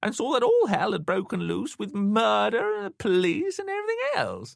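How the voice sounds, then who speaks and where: A man performs a put-on character voice. He keeps a fairly quick pace. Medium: read story. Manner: suspicious, querulous.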